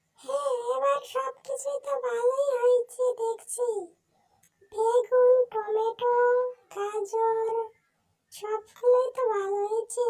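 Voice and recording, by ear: Putting on a squeaky, cartoonish character voice, a woman speaks very slowly at an extremely high pitch with fairly even intonation.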